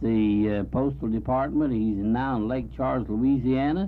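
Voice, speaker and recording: Speaking at a moderate pace in a medium pitch, a man shows ordinary pitch variation, with audible room echo around him. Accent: American. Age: 70s. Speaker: community band musician. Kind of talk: radio interview.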